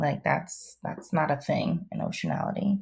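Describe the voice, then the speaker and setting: In a very clean recording with a silent background, a woman speaks with a fairly low pitch and a somewhat breathy voice. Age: 30s. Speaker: clinical sexologist and therapist. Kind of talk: interview. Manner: hesitant, many fillers.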